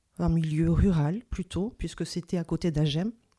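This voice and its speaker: At a fairly slow pace, a woman speaks in a dark, mellow tone, fairly low in pitch with ordinary pitch variation, on a very clean recording with a silent background. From southern France, Toulouse area. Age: 40s. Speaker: physiotherapist. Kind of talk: interview testimony. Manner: hesitant, many fillers.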